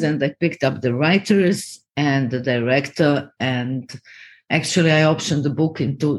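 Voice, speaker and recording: A woman with a Croatian accent speaks at a fairly slow pace in a very deep, low pitch. Her intonation is lively, and the background is quiet. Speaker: TV and film producer. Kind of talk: interview.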